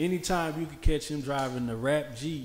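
Fairly high in pitch, this man has a plain, everyday voice. He speaks at a moderate pace with ordinary pitch variation. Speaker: podcast host. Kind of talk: casual interview chat.

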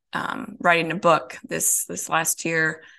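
A woman speaks with an American accent and a fairly low pitch. Her tone is bright and sharp, and the background is quiet. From Minnesota. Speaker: podcast guest. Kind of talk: casual interview.

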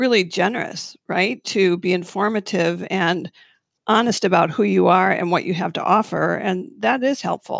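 A woman talks at a moderate pace with a medium pitch and some vocal fry. Her intonation is lively, and the recording is very clean with a silent background. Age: 60s. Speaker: acupuncturist. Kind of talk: panel discussion about acupuncture practice.

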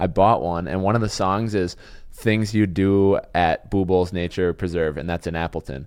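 Fairly even intonation marks this man's very deep, low voice. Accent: American. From Wisconsin. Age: 20s. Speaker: podcast host. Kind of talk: casual chat.

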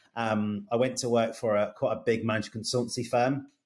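A man with a slight West Midlands accent talks at a moderate pace with ordinary pitch variation. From Birmingham area, England. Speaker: e-commerce agency CEO.

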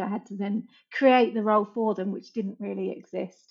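The woman speaks with an English accent at a fairly quick pace. Her medium-pitched voice stays monotone, with flat intonation. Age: 40s. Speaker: digital marketing agency founder. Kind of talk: casual interview chat.

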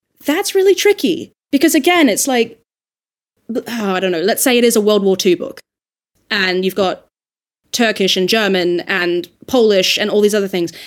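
Using lively intonation, a woman speaks at a fairly high pitch and a moderate pace. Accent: Australian. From Australia. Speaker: audiobook narrator and dialect coach. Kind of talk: casual panel discussion.

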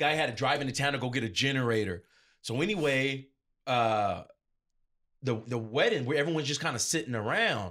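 A loud man with an American accent speaks at a fairly quick pace in a medium-pitched, bright, sharp voice. His pitch varies in an ordinary way, and he takes long, frequent pauses. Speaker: DJ and event entertainer. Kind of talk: casual interview. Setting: studio. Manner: loud, talkative.

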